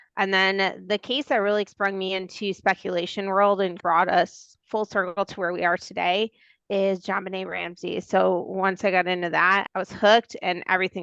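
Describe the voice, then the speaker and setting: With an American accent, a woman speaks at a medium pitch and a moderate pace, the sound dry and close with no echo. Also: quiet background. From Milwaukee, Wisconsin. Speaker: podcast co-host. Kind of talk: casual chat.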